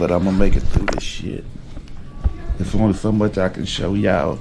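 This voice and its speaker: A man's voice with fairly even intonation, music in the background. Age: 40s. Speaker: rapper and vlogger. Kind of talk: personal video diary. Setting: hospital. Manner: halting.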